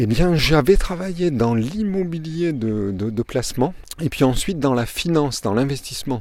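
A man's medium-pitched voice, dark and mellow in tone, with very wide pitch swings at a moderate pace. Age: 50s. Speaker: podcaster. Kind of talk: motivational monologue. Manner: halting.

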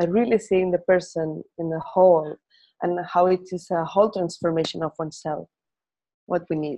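A woman with a Spanish accent, a fairly low voice and fairly even intonation. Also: moderate pace. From Spain. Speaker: Feldenkrais teacher. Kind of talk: interview conversation; guided movement lesson.

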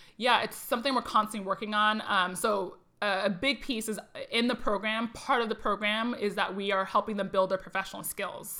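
A woman with an American accent, fairly high-pitched, bright and sharp, at a fairly quick pace with fairly even intonation, on a very clean recording with a silent background. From Arizona, US Southwest. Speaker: tech industry professional. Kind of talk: casual interview. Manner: fast talker.

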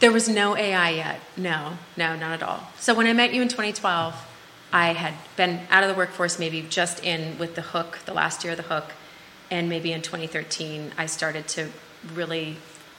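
At a moderate pace and with fairly even intonation, the speech carries audible room echo over noticeable background noise. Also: woman, fairly low pitch for a woman. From US Midwest, Minnesota. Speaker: health tech sales professional. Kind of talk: casual interview. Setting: live studio show. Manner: direct.

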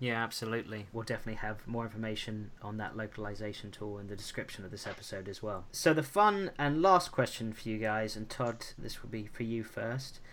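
In an American accent, a man with an unremarkable speaking voice talks at a medium pitch and a fairly quick pace with hardly any pauses, ordinary pitch variation and big swings in loudness. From USA. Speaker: podcast host. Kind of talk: podcast interview.

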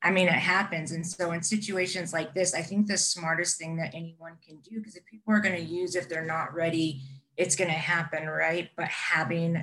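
A woman with an unremarkable speaking voice talks at a moderate pace and fairly low pitch. Her intonation stays fairly even. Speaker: podcast co-host. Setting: video call.

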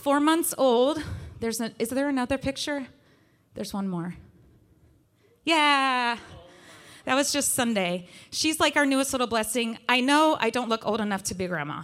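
In a very clean recording with a silent background, a woman with an American accent speaks at a moderate pace, leaving long, frequent pauses. Her pitch is high and her intonation lively. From West Virginia. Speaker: worship leader. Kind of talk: sermon. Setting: church.

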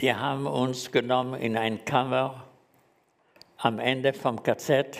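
A man at a very slow pace, monotone and flat, with long, frequent pauses. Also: medium pitch for a man. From Germany, Frankfurt. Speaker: Holocaust survivor. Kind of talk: testimony. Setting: stage with audience. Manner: halting.

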